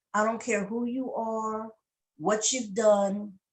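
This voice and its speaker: Somewhat breathy and fairly high in pitch, a woman speaks at a very slow pace. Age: 60s. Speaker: network marketing member, military veteran. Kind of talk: testimony interview.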